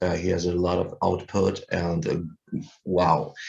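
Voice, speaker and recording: A man's very deep, low voice with a German accent, somewhat breathy, fairly slow, monotone and flat. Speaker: musician. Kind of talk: casual interview. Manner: halting, many fillers.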